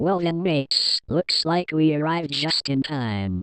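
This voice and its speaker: A put-on character voice sits at a middle pitch. It moves at a moderate pace. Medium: fan dub. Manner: cocky, laughing.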